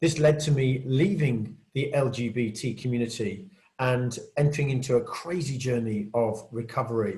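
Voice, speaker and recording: A man's somewhat breathy, dark and mellow voice at a medium pitch, with a British accent, a moderate pace and audible room echo. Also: ordinary pitch variation. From Britain. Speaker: conference speaker, peer support group leader. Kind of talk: conference talk. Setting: virtual conference, recorded video.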